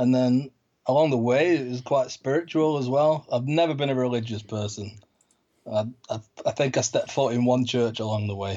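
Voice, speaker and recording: A man with a Manchester accent, fairly quick pace and ordinary pitch variation. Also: medium pitch for a man. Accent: Mancunian, northern English. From Manchester, northern England. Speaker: pilgrim guest. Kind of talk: casual interview.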